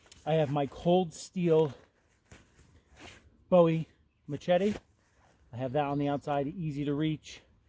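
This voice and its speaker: A man with a fairly high pitch and a dark, mellow tone speaks at a fairly slow pace with long, frequent pauses, in a dry, close sound with no echo. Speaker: outdoor gear vlogger. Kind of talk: gear review monologue outdoors. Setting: outdoors in forest. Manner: filler-heavy, halting.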